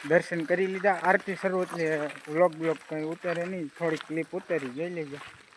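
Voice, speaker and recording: A high-pitched man's voice in a monotone, flat intonation, amid noticeable background noise. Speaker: vlogger. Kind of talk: travel vlog. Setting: in a car. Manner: casual, chatty.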